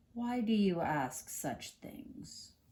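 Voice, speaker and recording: A man's put-on character voice, high in pitch, with very wide pitch swings. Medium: read story. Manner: sly, coaxing.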